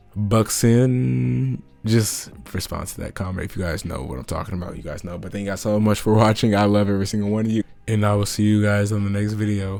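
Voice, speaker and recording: Over noticeable background noise, a man talks at a fairly quick pace, his fairly low pitch showing ordinary pitch variation. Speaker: NBA commentary YouTuber. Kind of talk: casual vlog commentary.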